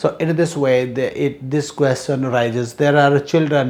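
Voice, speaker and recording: A man speaks in a fairly high pitch with monotone, flat intonation. His pace is fairly slow, and there is audible room echo. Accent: Indian. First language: Hindi. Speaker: English teacher. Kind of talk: lecture. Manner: halting, many fillers.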